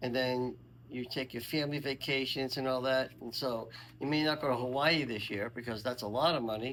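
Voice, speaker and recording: He talks at a fairly quick pace, his intonation fairly even. This man has an ordinary speaking voice and a medium pitch. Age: 60s. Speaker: senior interviewee. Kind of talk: casual interview.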